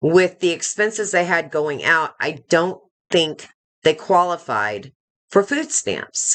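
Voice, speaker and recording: A woman talks at a very slow pace in a fairly low pitch, with vocal fry. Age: 60s. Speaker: YouTube commentator. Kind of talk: live stream commentary. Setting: live stream. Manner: conversational, with frequent fillers.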